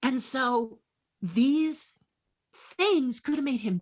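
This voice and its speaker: Against a quiet background, a woman talks at a very slow pace in a high voice. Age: 60s. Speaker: sculptor and puppeteer. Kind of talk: interview. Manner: animated.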